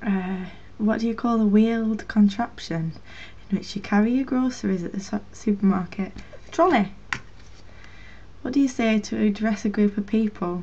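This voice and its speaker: A woman with a Lancashire accent speaks at a moderate pace in a fairly high pitch, with ordinary pitch variation. She leaves long, frequent pauses, and noticeable background noise can be heard. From Northern England. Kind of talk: casual talk to camera.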